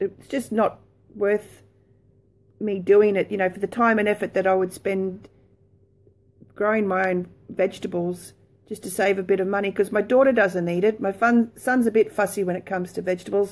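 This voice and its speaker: Speaking at a moderate pace with an Australian accent, a woman keeps a monotone, flat intonation and leaves long, frequent pauses. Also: medium pitch for a woman. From Australia, Brisbane. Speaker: lifestyle blogger. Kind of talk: casual chat; casual vlog chat. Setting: live video stream from home. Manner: hesitant, many fillers. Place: home room. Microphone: phone near.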